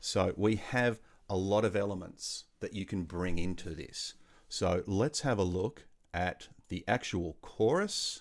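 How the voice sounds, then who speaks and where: A man talks at a fairly slow pace with an Australian accent. His pitch is fairly low, with ordinary variation. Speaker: music workshop leader. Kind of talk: online music tutorial.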